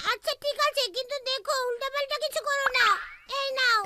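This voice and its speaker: Extremely high-pitched cartoonish character voice, delivered at a moderate pace. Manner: patient, gently teasing.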